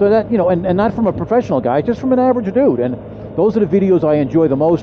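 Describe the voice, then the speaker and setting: A man at a very fast pace with lively intonation over noticeable background noise. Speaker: motorcycle vlogger. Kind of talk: casual vlog monologue. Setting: outdoors on a motorcycle. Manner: halting, stumbling for words.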